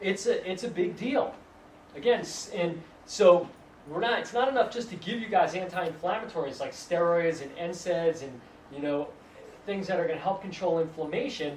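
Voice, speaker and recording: Noticeable background noise and audible room echo surround the voice. A man speaks at a high pitch. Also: ordinary pitch variation. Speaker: acupuncturist giving a health talk. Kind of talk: lecture. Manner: fast.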